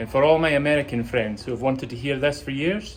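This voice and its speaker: A man speaks in a Scottish accent at a fairly quick pace, with ordinary pitch variation. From Scotland. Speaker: car enthusiast. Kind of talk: casual talk to camera.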